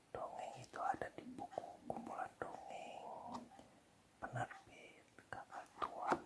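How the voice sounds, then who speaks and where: Whispering, a man speaks at a very slow pace. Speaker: ASMR storyteller. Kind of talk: casual introduction to listeners. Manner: whispered.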